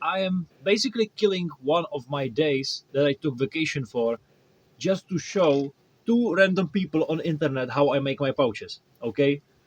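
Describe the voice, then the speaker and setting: In a dry, close sound with no echo, a man with a Czech accent and a fairly high pitch talks at a moderate pace with lively intonation. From Czech Republic. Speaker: cosplay maker. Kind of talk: tutorial. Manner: halting.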